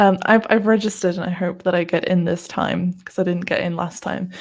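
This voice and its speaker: This woman speaks with a British accent. Her medium pitch shows ordinary variation. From Britain. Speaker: SEO podcast co-host. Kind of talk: casual chat.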